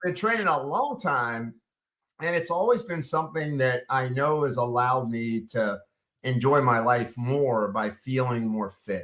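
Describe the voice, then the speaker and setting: Using a normal speaking voice, a man talks at medium pitch and a moderate pace with ordinary pitch variation. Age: 60s. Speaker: clinical pharmacist and nutritionist. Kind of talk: interview. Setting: Facebook Live broadcast.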